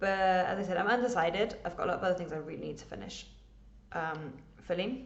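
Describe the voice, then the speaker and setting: A woman with an English accent speaks at a very fast pace in a medium pitch, with ordinary pitch variation and vocal fry. Audible room echo surrounds her voice. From England. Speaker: cross stitch vlogger. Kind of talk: casual chat.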